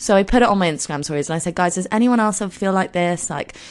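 The voice is croaky, with lively intonation. It moves at a very fast pace. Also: woman, fairly low pitch for a woman.

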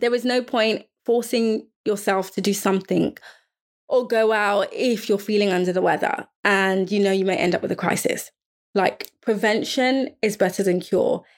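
In a London accent, a woman speaks at medium pitch with fairly even intonation on a very clean recording with a silent background. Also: moderate pace, very even loudness. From London, England. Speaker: podcast host, fashion designer and sickle cell advocate. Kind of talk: solo podcast monologue.

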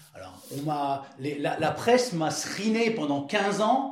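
A man's voice swings very widely in pitch. Noticeable background noise and audible room echo fill the recording. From Lorraine, northeastern France (Florange, Moselle). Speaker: former professional footballer. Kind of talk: interview. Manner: halting, with repeated words.

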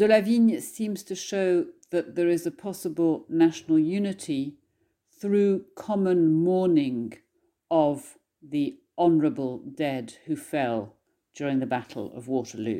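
A woman speaks in a dark, mellow tone at a fairly slow pace. Her pitch swings very widely. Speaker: scholar reading poem. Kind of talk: poem performed, dramatic reading aloud of an English translation of a French war poem. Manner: scholarly, formal introduction before the reading.

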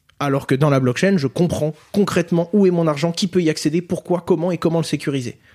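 The tone is dark and mellow, with ordinary pitch variation, a fairly quick pace and very even loudness. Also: man, high pitch for a man. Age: 20s. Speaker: crypto educator and entrepreneur. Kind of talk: interview.

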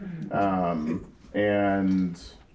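This is a man speaking. His voice is very deep and low. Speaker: political organization co-founder. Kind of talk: panel discussion. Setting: stage with audience.

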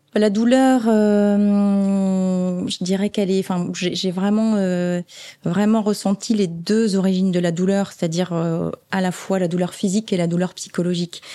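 This woman talks at a medium pitch and a fairly slow pace, in a monotone with flat intonation. Her loudness stays very even, and the recording is very clean with a silent background. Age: 50s. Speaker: oncology nurse manager. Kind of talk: interview. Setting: hospital ward. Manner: halting.

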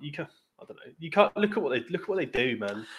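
Talking at a very fast pace, a man with an English accent uses lively intonation. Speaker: football fan guest. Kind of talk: casual chat.

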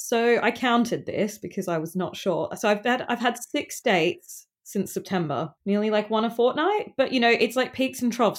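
A woman with an Australian accent, lively intonation and a fairly quick pace, on a very clean recording with a silent background. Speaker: friend of the host, dating-story guest. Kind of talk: casual chat.

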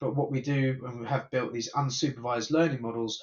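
With flat, monotone intonation, a man talks in a somewhat breathy voice. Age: 50s. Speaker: tech company founder and CEO. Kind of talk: interview.

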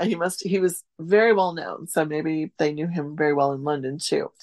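A woman with a normal speaking voice talks at a fairly slow pace with hardly any pauses, fairly low in pitch and with ordinary pitch variation. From US Midwest, central Wisconsin. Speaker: food historian and author. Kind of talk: casual interview. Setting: remote call.

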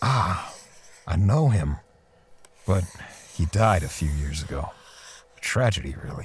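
In a put-on character voice, a man speaks at a fairly slow pace with a low pitch and a husky, rough edge. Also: lively intonation.

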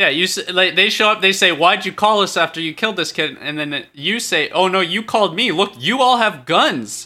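Raised and projected, a man's high-pitched voice with a bright, sharp tone and ordinary pitch variation runs on with hardly any pauses in a very clean recording over a silent background. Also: moderate pace. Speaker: comedy podcast co-host. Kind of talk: improvised comedy chat.

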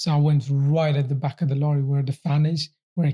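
A man's somewhat breathy voice has a dark, mellow tone and monotone, flat intonation. The sound is dry and close, with no echo. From Afghanistan, then Gloucester from age 12. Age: 20s. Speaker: professional boxer. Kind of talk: interview, personal life story. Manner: halting, with fillers and repetitions.

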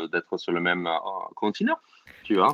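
A man is speaking. His pace is moderate. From US, New York suburbs. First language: English (speaking French). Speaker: comedian. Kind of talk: casual chat. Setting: online audio room. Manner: halting.

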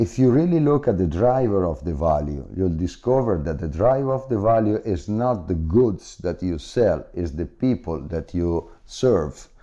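In an Italian accent, a man talks at a moderate pace with hardly any pauses, using a dark, mellow tone and very wide pitch swings. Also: fairly low pitch for a man. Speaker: business executive. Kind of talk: interview. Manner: halting, with frequent fillers.

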